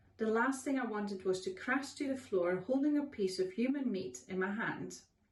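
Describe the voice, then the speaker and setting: With a Dutch accent and lively intonation, a woman speaks at a moderate pace. Room echo and noticeable background noise are audible. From Netherlands. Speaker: author. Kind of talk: reading aloud.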